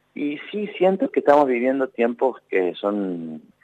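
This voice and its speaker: A man talks with a normal speaking voice and lively intonation at a moderate pace. The sound is dry and close, with no echo. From Argentina, Córdoba (Traslasierra). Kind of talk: radio interview.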